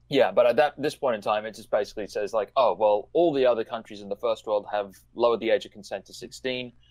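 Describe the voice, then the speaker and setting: Very fast and with hardly any pauses, a man with an Australian accent talks at a medium pitch with ordinary pitch variation and big swings in loudness. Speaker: online commentator. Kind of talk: casual discussion.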